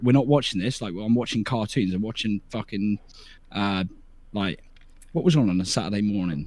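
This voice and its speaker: With a British accent, a man with a fairly low pitch and ordinary pitch variation talks at a fairly quick pace broken by long, frequent pauses, in a very clean recording with a silent background. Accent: English (UK). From southern England, near Portsmouth. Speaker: streamer. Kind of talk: casual interview chat. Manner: animated, stammering restarts.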